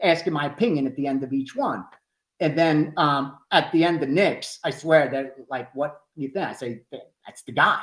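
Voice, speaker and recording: The speaker has a Greek accent. The pace is moderate. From Philadelphia, US. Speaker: sports betting analyst. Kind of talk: podcast interview.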